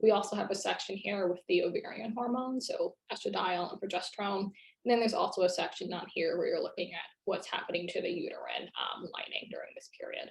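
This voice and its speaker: A woman at a fairly quick pace with hardly any pauses. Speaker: psychiatrist lecturer. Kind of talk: lecture. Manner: fast.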